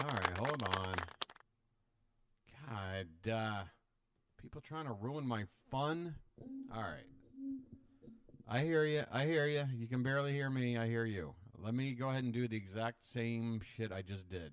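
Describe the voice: A man speaks at a medium pitch in a clear, smooth tone, with ordinary pitch variation and a fairly slow pace. Long pauses come often.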